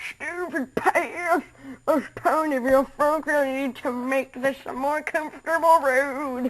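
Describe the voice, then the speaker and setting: A woman does a put-on character voice, high in pitch and raised and projected. She delivers it at a fairly slow pace. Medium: read story. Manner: stammering, nervous.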